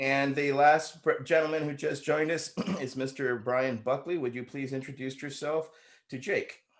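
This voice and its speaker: A man with an American accent has an unremarkable speaking voice, fairly high in pitch. He talks at a moderate pace with fairly even intonation. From California. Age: 50s. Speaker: moderator, veteran. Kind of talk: moderated roundtable interview. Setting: online video call.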